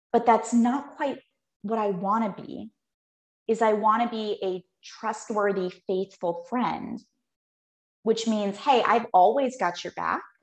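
A woman with a General American accent speaks at a very slow pace, leaving long, frequent pauses. Her intonation stays fairly even. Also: fairly high pitch for a woman. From Phoenix, Arizona. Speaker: holistic nutritionist and health coach. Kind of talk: casual interview chat.

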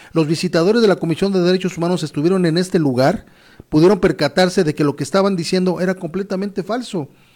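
A man with a Mexican accent at high pitch, animated in tone and very fast in pace. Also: ordinary pitch variation, very clean recording, silent background. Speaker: news presenter. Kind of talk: news commentary. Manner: stumbling.

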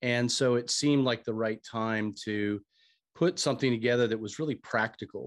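A man with an American accent talks in a plain, everyday voice. His pitch is medium, his pace moderate, and his intonation fairly even. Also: quiet background. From United States. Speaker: author and former bank CEO. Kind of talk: interview, business talk.

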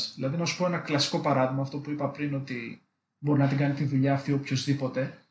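Very fast, somewhat breathy speech from a man, fairly high in pitch with a monotone, flat intonation. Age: 20s. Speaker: electrical engineer. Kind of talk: casual interview chat.

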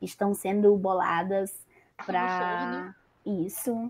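A woman's medium-pitched voice, very slow in pace, with fairly even intonation. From Maranhão, Brazil. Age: 20s. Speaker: podcast host leading the episode.

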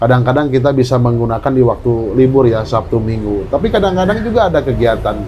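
Speaking at a fairly quick pace and a medium pitch, a man comes through noticeable background noise. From Indonesia, West Java (Cianjur). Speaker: local politician. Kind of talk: interview. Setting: at his home. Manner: halting, many fillers.

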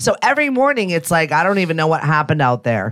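A woman races along at a very fast pace while music plays in the background. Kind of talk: casual chat.

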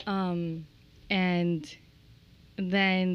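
A woman's flat, monotone voice. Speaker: realtor and home builder. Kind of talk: casual chat.

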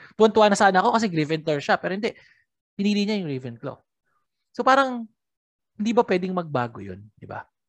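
A woman speaks at medium pitch and a very fast pace, with very wide pitch swings and big swings in loudness. Long, frequent pauses break it up, and the sound is dry and close with no echo. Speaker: podcast host. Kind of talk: casual chat. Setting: remote call.

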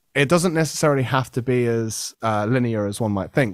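Fairly quick pace from a man with a British accent, in a very clean recording with a silent background. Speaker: podcast host. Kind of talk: casual chat.

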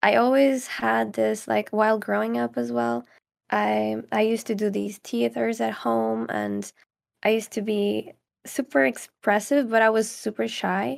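Her voice is very deep and low, swinging very widely in pitch as this woman talks at a fairly slow pace. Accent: Portuguese. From Portugal, near Caldas da Rainha. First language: Portuguese. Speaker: ASMR creator. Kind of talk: casual interview chat.

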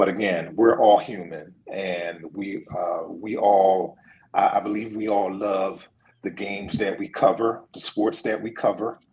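With a Philadelphia accent, a man speaks at a fairly slow pace in a fairly low pitch and fairly even intonation. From Philadelphia (West Philly). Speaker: sports journalist. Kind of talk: casual interview.

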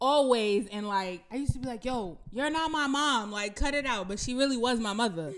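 Her pitch high and her intonation lively, a woman speaks at a fairly quick pace. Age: 20s. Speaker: guest, host's sister. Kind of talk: casual chat.

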